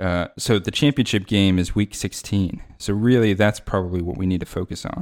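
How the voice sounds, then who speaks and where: With an ordinary speaking voice, a man talks at a moderate pace with fairly low pitch, ordinary pitch variation and hardly any pauses, in a very clean recording with a silent background. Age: young. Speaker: fantasy football stats enthusiast. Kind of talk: casual chat.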